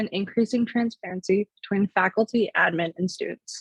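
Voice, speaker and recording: A somewhat breathy voice talks at a fairly quick pace with ordinary pitch variation, recorded with a dry, close sound and no echo. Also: woman. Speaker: student election candidate. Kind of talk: opening statement speech. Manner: fluent, prepared.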